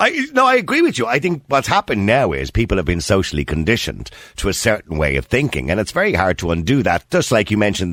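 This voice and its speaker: A man in an Irish accent speaks at a very fast pace. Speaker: radio host. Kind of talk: casual chat.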